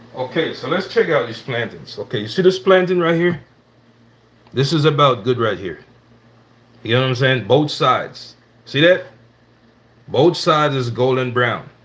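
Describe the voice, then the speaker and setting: A man in a Jamaican accent talks at a fairly high pitch with lively intonation. He leaves long, frequent pauses. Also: moderate pace. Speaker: cooking livestreamer. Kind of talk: live cooking stream with chat. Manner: casual, conversational.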